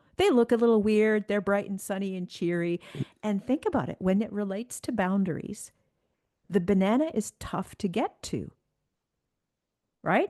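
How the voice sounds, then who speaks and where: A woman with a Canadian accent and a dark, mellow tone speaks at a moderate pace with ordinary pitch variation and long, frequent pauses. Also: medium pitch for a woman, dry, close sound with no echo. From Canada. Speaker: executive coach. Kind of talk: interview conversation. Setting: remote call. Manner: animated.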